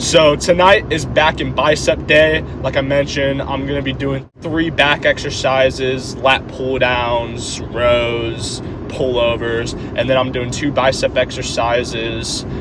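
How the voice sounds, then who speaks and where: A man at a fairly slow pace with medium pitch and fairly even intonation, hardly any pauses, audible room echo and noticeable background noise. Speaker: fitness vlogger. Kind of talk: casual gym vlog. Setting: gym. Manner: stutters over words.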